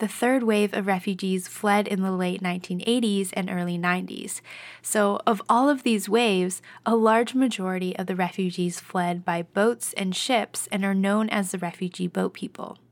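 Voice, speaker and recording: With a Canadian accent, a woman speaks in a normal speaking voice at medium pitch, keeping a moderate pace and fairly even intonation. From Canada. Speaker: podcast host. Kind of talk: scripted informational narration; solo personal monologue.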